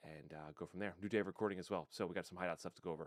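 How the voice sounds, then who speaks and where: Quiet and dry, the sound is close with no echo as a man speaks with ordinary pitch variation. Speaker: gaming streamer. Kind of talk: gameplay commentary. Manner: quiet, talking low; casual, rambling.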